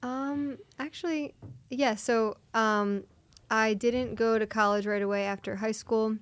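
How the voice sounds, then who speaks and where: Speaking with a Philadelphia accent, a woman has a fairly high pitch. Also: ordinary pitch variation, fairly slow pace. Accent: Philadelphia-area American. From US, Philadelphia area (Delaware County, Pennsylvania). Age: 20s. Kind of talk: interview testimony. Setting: studio.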